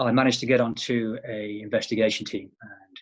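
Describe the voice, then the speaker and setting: A man talks with a British accent at a moderate pace. His intonation is monotone and flat. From England. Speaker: private investigator, former law enforcement officer. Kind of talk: interview. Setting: remote interview from home.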